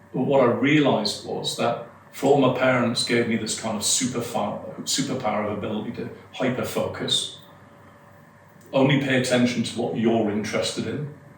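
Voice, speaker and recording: A man speaks fairly quickly with fairly even intonation. Noticeable background noise and audible room echo fill the recording. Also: medium pitch for a man. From northeast England. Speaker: hypnotist and performer. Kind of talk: podcast interview.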